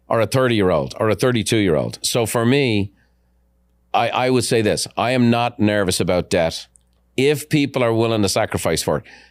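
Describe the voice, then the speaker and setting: A man talks at a fairly quick pace in a normal speaking voice, with pitch that is medium for a man. His loudness stays very even. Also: ordinary pitch variation, very clean recording, silent background. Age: 50s. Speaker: podcast host and real estate mentor. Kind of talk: casual interview conversation.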